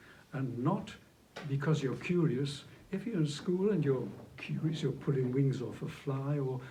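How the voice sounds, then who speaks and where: There is audible room echo around a man's voice. It is dark, mellow and somewhat breathy, with ordinary pitch variation. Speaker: flautist and movement technique teacher. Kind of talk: interview conversation.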